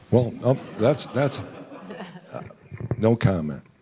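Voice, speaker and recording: A man's voice over noticeable background noise. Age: 70s. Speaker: audience member asking a question. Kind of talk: audience question. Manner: halting.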